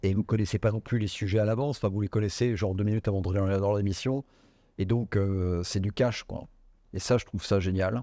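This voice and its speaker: A man speaks in a fairly low pitch with a dark, mellow tone and fairly even intonation. The sound is dry and close with no echo, and the background is quiet. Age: 60s. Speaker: business executive. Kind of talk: interview. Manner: hesitant, many fillers.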